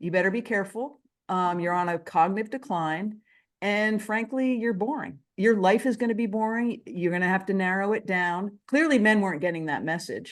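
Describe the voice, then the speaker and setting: A woman with a plain, everyday voice talks at a moderate pace and a medium pitch. Her pitch variation is ordinary, and the background is quiet. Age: 60s. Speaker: author. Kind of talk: interview.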